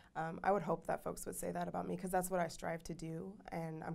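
A woman talks very fast with an American accent and vocal fry. Her pitch is fairly low and her intonation fairly even. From Portland, Oregon; Oregon. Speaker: communications strategist. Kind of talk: interview. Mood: warm, smiling, reflective. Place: studio. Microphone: lapel.

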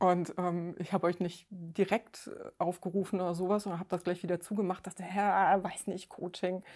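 Monotone, flat intonation at a moderate pace. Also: woman, medium pitch for a woman. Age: 50s. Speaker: weight-loss coaching client. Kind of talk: interview. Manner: halting, many fillers.

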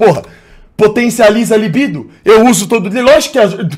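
The man has a high pitch. Behind him, the background is quiet. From Brazil. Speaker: streamer. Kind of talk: live stream chat reading. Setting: live stream. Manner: animated; loud. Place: home room. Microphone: studio mic.

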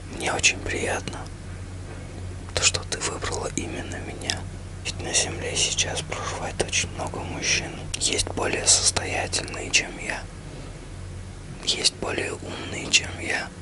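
Amid noticeable background noise, a man whispers, soft-spoken and very slow. He leaves long, frequent pauses. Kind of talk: personal heartfelt message to camera. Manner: soft intimate ASMR whisper. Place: home room. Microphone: phone near.

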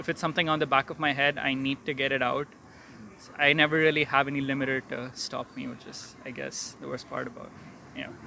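Fairly quick, monotone, flat delivery with a dry sound, no echo and light background noise. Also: man. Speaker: interviewee. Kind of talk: interview answer. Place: street. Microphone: handheld.

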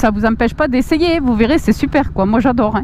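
With a southwestern French accent and lively intonation, a woman speaks over light background noise in a dry sound with no echo. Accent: south-west French. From Agen, south-west France. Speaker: motorcycle vlogger. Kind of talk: casual talk to camera while riding. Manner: upbeat. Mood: cheerful, enthusiastic. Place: motorbike.

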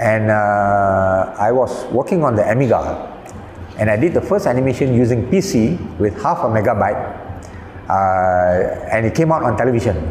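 At a moderate pace, a man talks with very even loudness. Room echo is audible, with light background noise. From Malaysia. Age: 70s. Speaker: animation director and film critic. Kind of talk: interview answer. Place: home room. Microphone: lapel.

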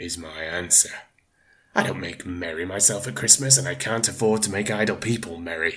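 A man's gruff, put-on character voice, fairly low in pitch, with lively intonation at a moderate pace. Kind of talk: audiobook reading. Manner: cold, scornful, gruff.

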